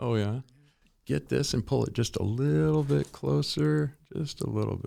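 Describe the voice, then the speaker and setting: With a dark, mellow tone and a very deep, low pitch, a man speaks at a moderate pace while his pitch swings very widely. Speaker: podcast host. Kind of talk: casual chat. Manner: loud and clear.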